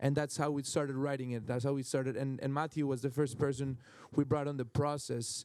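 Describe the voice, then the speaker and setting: Spoken in a Spanish accent, the voice keeps a monotone, flat intonation. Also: man. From Colombia. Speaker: film director. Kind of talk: panel Q&A. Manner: halting, many repetitions.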